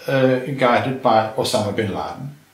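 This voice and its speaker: The speech comes at a fairly slow pace with noticeable background noise. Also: man. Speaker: retired chemistry professor. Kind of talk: interview. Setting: filmed interview.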